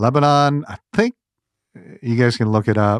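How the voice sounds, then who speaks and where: The speaker, with an Indian accent, talks at a fairly quick pace with ordinary pitch variation in a dry, close sound with no echo and a quiet background. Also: man. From India, Gujarat. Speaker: ministry president. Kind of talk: interview conversation. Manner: animated.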